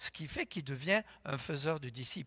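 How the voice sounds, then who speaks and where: On a very clean, dry recording with no echo and a silent background, a man speaks at a moderate pace in a bright, sharp tone, his fairly high pitch carried by lively intonation. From France. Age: 70s. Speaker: pastor. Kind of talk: sermon.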